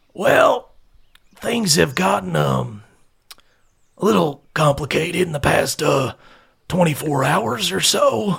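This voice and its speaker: Using a raspy, put-on character voice, a man speaks at a fairly slow pace with a fairly high pitch and long, frequent pauses. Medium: actual play. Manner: hesitant, rambling.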